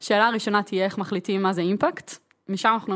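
The speaker is a woman with a mid-range voice. She delivers everything in a flat monotone. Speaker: podcast host. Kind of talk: casual chat.

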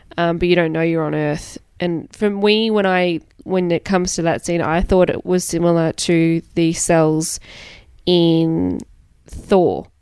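With an Australian accent, a woman speaks in a fairly low pitch at a fairly slow pace, her intonation monotone and flat. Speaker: returning podcast guest. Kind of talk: casual chat.

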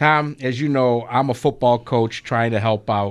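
On a very clean recording with a silent background, a man uses an ordinary speaking voice at a moderate pace with ordinary pitch variation. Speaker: radio show host. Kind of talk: casual radio sports talk. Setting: radio studio.

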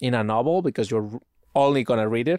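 A man's medium-pitched voice with a Spanish accent, ordinary pitch variation, a dry, close sound with no echo and a quiet background. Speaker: podcast host. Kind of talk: casual chat.

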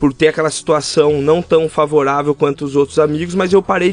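With fairly even intonation, an unremarkable speaking voice delivers its words at a fairly quick pace. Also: man. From interior of São Paulo state, Brazil (Rio das Pedras). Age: 20s. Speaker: barber, small business owner. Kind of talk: casual interview conversation.

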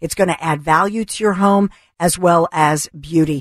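A woman with an American accent has a fairly low pitch, ordinary pitch variation and a plain, everyday voice. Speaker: radio co-host. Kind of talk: talk radio show. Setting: studio.

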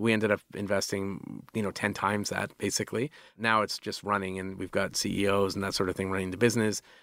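A man's fairly low, monotone voice at a fairly quick pace, with hardly any pauses, on a very clean recording with a silent background. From Canada. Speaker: tech entrepreneur. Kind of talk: casual interview chat. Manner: halting, filler-heavy.

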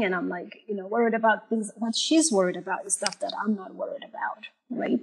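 Her medium-pitched voice carries vocal fry as the woman speaks. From Malawi and Zimbabwe. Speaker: mental health therapist. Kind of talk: panel discussion.

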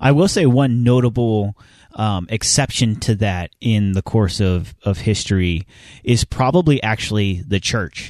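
A man with a normal speaking voice and a fairly low pitch speaks fairly slowly with ordinary pitch variation, in a dry, close sound with no echo. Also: quiet background. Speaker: podcast co-host. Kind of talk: casual chat.

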